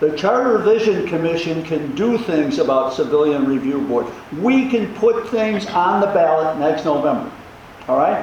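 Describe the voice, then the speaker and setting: Over noticeable background noise and audible room echo, a man with a high pitch speaks at a moderate pace and very even loudness, his pitch swinging very widely. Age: 80s. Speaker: community meeting participant, charter commission member. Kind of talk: public meeting discussion.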